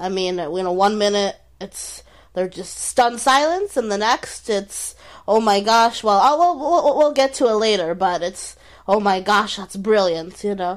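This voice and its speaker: On a very clean recording with a silent background, a woman with an unremarkable speaking voice at medium pitch talks at a fairly slow pace with lively intonation. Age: 20s. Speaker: comedian and podcast co-host. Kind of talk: casual chat.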